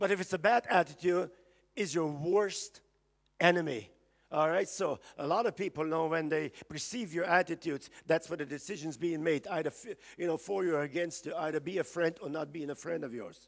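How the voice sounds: A man talks at a moderate pace with few pauses, his pitch fairly high and touched by vocal fry. His pitch varies in an ordinary way.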